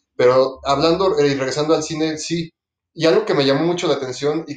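A man with a normal speaking voice, fairly high pitch and ordinary pitch variation. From Mexico City. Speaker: podcast co-host. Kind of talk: casual chat.

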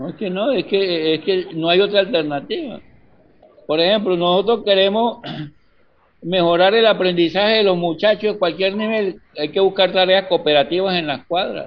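A man's high voice with ordinary pitch variation, at a moderate pace. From Colombia, Barrancabermeja. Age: 70s. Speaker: university physics professor and community educator. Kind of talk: casual interview conversation.

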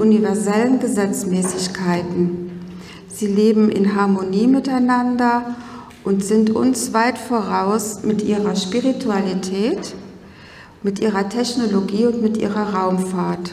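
A woman's fairly high voice at a very slow pace, with fairly even intonation, audible room echo and noticeable background noise. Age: 50s. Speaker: spiritual speaker. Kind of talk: conference talk. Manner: formal.

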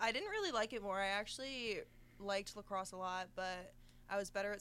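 A woman at a medium pitch and moderate pace, with ordinary pitch variation. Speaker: college swimmer. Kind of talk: casual chat.

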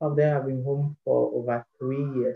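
A man with a Ghanaian accent talks at a moderate pace, his fairly high voice keeping fairly even intonation. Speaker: podcast ambassador. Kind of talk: interview. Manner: halting.

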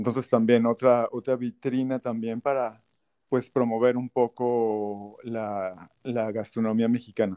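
Flat, monotone intonation from a man with a dark, mellow tone and medium pitch, fairly slow in pace, in a dry, close sound with no echo. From Mexico, Tabasco. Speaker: chef. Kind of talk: interview.

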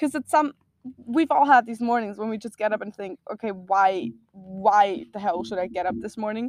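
The woman's voice sounds dry and close with no echo, showing ordinary pitch variation. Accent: German. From Austria. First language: German. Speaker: self-love advocate. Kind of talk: casual chat.

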